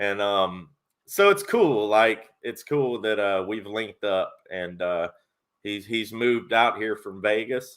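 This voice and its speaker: A man with a Tennessee accent speaks at a very slow pace. His fairly low voice keeps a fairly even intonation. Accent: Southern US (Tennessee). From Tennessee, Nashville. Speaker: sports YouTuber and live stream host. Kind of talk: live stream chat.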